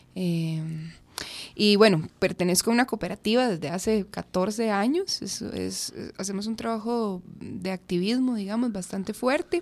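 A woman's normal speaking voice at a fairly slow pace, with ordinary pitch variation. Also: medium pitch for a woman. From Costa Rica, Curridabat. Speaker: rapper. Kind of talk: radio interview. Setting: radio studio.

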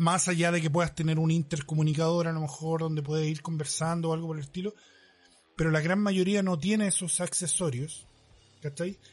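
Over music in the background, a man with a Chilean accent talks at a fairly quick pace with fairly even intonation. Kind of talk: casual chat.

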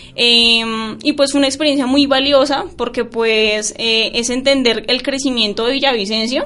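Over noticeable background noise, a woman with a high pitch speaks at a fairly slow pace with fairly even intonation. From Colombia, Boyacá. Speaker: university student. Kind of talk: radio interview.

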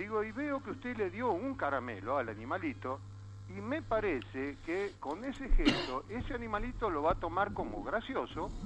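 A man's voice swings very widely in pitch. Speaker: caller. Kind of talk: joke telling. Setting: phone call.

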